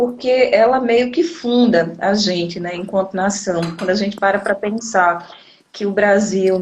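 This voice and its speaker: A woman with a medium pitch talks at a moderate pace and ordinary pitch variation, noticeable background noise behind her. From Northeast Brazil, Recife. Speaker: teacher, educator and activist. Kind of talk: live interview. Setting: Instagram live video.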